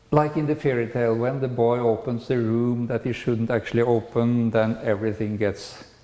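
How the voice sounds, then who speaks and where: At a moderate pace, a man with a Norwegian accent speaks in a medium pitch. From Norway. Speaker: spiritual lecturer. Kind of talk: lecture. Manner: halting.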